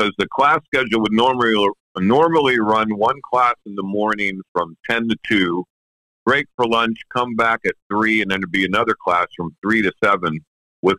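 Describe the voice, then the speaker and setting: An ordinary speaking voice with an American accent moves at a moderate pace with ordinary pitch variation. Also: man. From Pennsylvania. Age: 60s. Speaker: professional drummer. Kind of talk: interview. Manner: casual.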